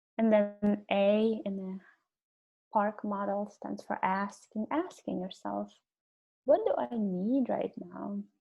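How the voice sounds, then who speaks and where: Very slowly and with ordinary pitch variation, a woman with a non-native accent speaks in a dark, mellow, somewhat breathy tone. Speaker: webinar presenter on self-compassion. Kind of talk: webinar lecture. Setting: online webinar. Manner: hesitant, many fillers.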